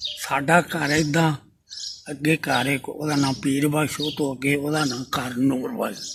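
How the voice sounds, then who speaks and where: Noticeable background noise accompanies a man whose fairly high pitch carries fairly even intonation. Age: 80s+. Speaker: elderly eyewitness storyteller. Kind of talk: oral history storytelling.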